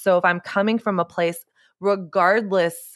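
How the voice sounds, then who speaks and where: On a very clean recording with a silent background, a woman with an American accent speaks at a moderate pace in a bright, sharp tone with fairly even intonation. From Texas. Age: 30s. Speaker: author and podcaster. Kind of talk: podcast interview.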